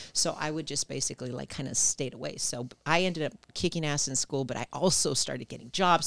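A woman with an American accent talks at a very fast pace in a very deep, low pitch with vocal fry. Her pitch varies in an ordinary way, and the recording is very clean with a silent background. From San Jose, California and Mexico. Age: 40s. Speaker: sales company executive. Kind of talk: casual chat.

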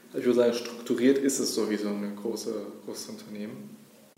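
Amid noticeable background noise and audible room echo, a man talks at a fairly quick pace and medium pitch with fairly even intonation. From Berlin, Germany. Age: 30s. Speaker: startup founder. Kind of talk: interview.

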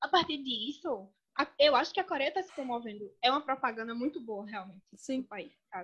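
Speaking at a fairly quick pace, a woman has a high pitch and lively intonation. Her loudness swings a lot. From Brazil, Pernambuco (sertão). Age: 30s. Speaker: lawyer and master's student. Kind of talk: casual chat. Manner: animated.

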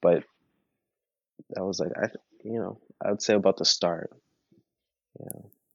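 A man with a Toronto accent speaks at a fairly low pitch, leaving long, frequent pauses. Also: fairly even intonation, moderate pace. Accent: Canadian English, Toronto. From Toronto, Canada. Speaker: musician. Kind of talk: casual interview.

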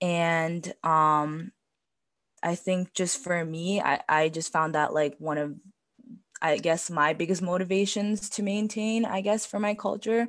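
A woman with an American accent speaks in a normal speaking voice, fairly low in pitch. She goes at a fairly slow pace with ordinary pitch variation. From US, Tibetan family. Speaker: podcast guest. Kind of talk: casual chat.

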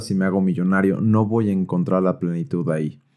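On a very clean recording with a silent background, a man with a Mexican accent and a dark, mellow tone speaks at a fairly quick pace. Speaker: podcast host. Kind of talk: personal monologue. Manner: casual.

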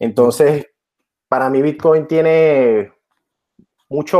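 A man with a Venezuelan accent, fairly high pitch, fairly even intonation and a very slow pace. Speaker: electrical engineer and crypto journalist. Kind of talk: interview.

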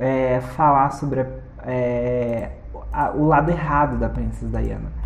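A woman talks very slowly, with audible echo from the room around her. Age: 30s. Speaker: podcast host. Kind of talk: casual monologue. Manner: animated; halting.

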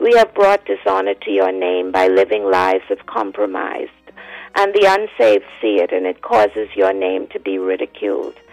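A woman with a Bahamian accent at a moderate pace, dry, close sound with no echo, and music in the background. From the Bahamas. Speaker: evangelist. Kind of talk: fervent prayer. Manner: impassioned, declamatory; solemn, rhythmic.

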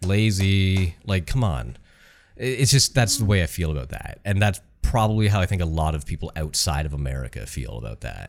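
On a very clean recording with a silent background, a man with a very deep, low voice talks at a moderate pace with very wide pitch swings. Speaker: podcast co-host. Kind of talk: casual banter, podcast chat.

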